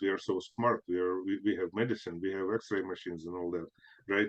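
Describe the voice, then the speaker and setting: The sound is dry and close, with no echo. A man speaks at a fairly quick pace. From Ukraine (Soviet Union). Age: 60s. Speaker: spiritual healer and author. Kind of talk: interview. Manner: halting, many fillers and restarts.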